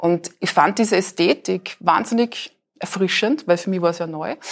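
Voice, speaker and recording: A woman speaks at a moderate pace and medium pitch, with ordinary pitch variation. She has a plain, everyday voice. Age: 40s. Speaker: author and photographer. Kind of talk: interview at live event. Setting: café with live audience.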